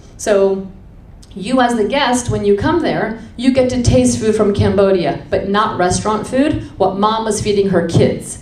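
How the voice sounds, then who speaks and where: The speaker uses lively intonation at a fairly slow pace. Audible room echo and noticeable background noise are present. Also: woman, medium pitch for a woman. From Washington, DC, US. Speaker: restaurant co-founder and cook. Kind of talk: public talk. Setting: stage with audience. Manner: animated.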